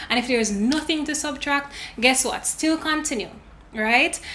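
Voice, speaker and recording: Over noticeable background noise, a speaker with a Jamaican accent uses a raised, projected voice at a moderate pace with ordinary pitch variation. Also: woman. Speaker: lifestyle and finance YouTuber. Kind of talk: casual tutorial vlog.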